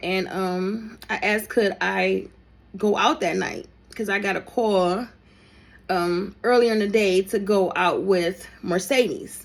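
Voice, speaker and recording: In a very clean recording with a silent background, a woman speaks very slowly at medium pitch with ordinary pitch variation. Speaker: storyteller, content creator. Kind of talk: storytime monologue. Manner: casual, conversational; halting.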